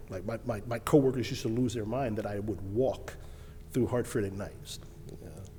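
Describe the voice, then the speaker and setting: A man with a New York accent speaks at a fairly quick pace and medium pitch, with ordinary pitch variation. His voice is somewhat breathy and dark, mellow in tone, with big swings in loudness. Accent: New York City. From Brooklyn, New York. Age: 40s. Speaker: financial advisor. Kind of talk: casual chat.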